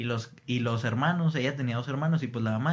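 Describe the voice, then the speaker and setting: This man's voice sits at a medium pitch and sounds somewhat breathy. He speaks at a fairly quick pace with ordinary pitch variation. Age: 20s. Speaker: podcast host. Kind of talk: casual chat.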